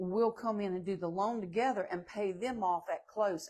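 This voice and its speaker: A woman speaks in a Southern US accent at a medium pitch. Her pace is moderate and her intonation fairly even. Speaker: manufactured home salesperson. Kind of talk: live stream Q&A. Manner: casual, chatty.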